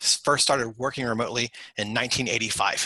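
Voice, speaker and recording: The tone is bright and sharp. Speech moves at a fairly quick pace. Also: man. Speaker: IT security expert. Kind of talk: webinar presentation. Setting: video call. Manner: fast.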